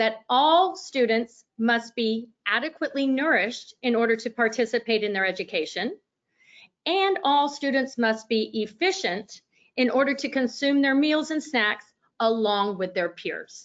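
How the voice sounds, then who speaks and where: Lively intonation at a fairly slow pace. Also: woman, high pitch for a woman. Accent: Texas. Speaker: speech-language pathologist presenter. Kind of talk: webinar lecture. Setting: online webinar.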